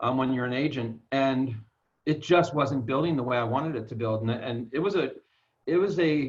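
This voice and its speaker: Here a man speaks at medium pitch and a moderate pace. He has an ordinary speaking voice with ordinary pitch variation. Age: 60s. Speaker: network marketer. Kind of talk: personal story in an interview.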